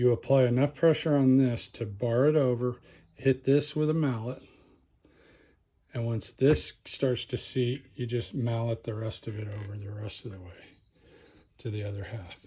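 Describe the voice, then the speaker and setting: Medium in pitch and dark, mellow in tone, a man's somewhat breathy voice moves at a moderate pace with ordinary pitch variation and big swings in loudness. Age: 60s. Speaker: mechanic. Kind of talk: tutorial. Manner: casual, hesitant.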